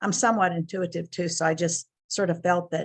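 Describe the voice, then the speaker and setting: Close and dry with no echo, a woman's somewhat breathy voice runs at a fairly quick pace with monotone, flat intonation. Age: 70s. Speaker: client giving a health testimonial. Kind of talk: testimonial interview. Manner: hesitant, many fillers.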